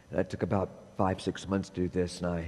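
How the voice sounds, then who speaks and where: A husky man with a dark, mellow tone speaks at a fairly quick pace. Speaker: minister. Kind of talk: sermon. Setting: church service. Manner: halting, many fillers.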